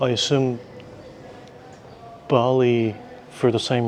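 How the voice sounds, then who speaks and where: A man talks over noticeable background noise. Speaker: travel vlogger. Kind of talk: casual travel vlog. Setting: indoors in a museum.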